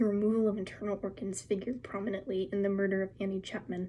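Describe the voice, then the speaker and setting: A soft-spoken woman talks at a fairly quick pace with vocal fry. Her tone is dark and mellow. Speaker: ASMR creator. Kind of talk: ASMR magazine reading.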